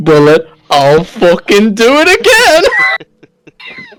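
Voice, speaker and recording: A put-on character voice growls at a very slow pace with a fairly high pitch. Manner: aggressive, menacing.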